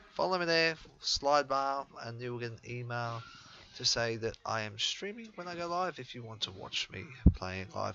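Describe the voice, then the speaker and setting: A man's medium-pitched voice in an Australian accent, with ordinary pitch variation and a moderate pace. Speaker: gaming YouTuber. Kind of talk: gameplay commentary. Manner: hesitant, many fillers.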